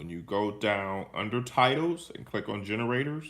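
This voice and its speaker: In a plain, everyday voice, a man speaks at a fairly low pitch and a fairly slow pace with lively intonation. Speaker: teacher. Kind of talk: tutorial. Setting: live stream screen recording.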